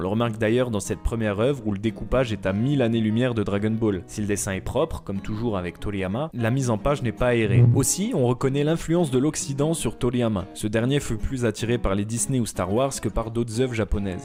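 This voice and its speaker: A man speaks at a medium pitch and a fairly quick pace, with hardly any pauses and ordinary pitch variation. Music plays in the background. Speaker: manga and anime video essayist. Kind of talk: documentary narration.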